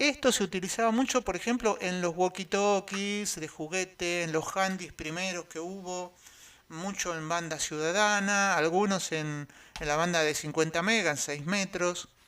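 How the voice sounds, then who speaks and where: The tone is bright and sharp, the pace fairly slow, the pitch variation ordinary, and the recording very clean with a silent background. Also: man, high pitch for a man. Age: 60s. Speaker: electronics hobbyist and radio amateur. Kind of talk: tutorial. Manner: hesitant, many fillers.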